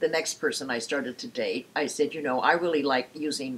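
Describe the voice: A woman's extremely low, husky voice with a rough edge, fairly quick pace and ordinary pitch variation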